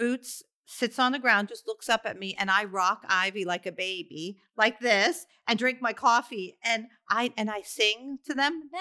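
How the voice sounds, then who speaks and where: A woman speaks slowly-ish in an ordinary speaking voice, at a fairly high pitch with ordinary pitch variation and a fairly slow pace. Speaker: podcast co-host, mother. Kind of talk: casual chat.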